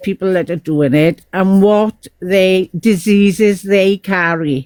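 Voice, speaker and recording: At a very slow pace, a woman speaks in a medium pitch with a dry, close sound and no echo. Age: 60s. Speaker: caller in live stream. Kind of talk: casual chat.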